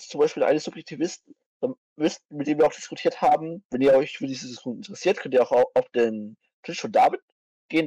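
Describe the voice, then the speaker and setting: A very fast man's voice with a dark, mellow tone, fairly high pitch and ordinary pitch variation, in a dry, close recording with no echo. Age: 20s. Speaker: vegan activist, philosophy enthusiast. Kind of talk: casual chat about philosophy.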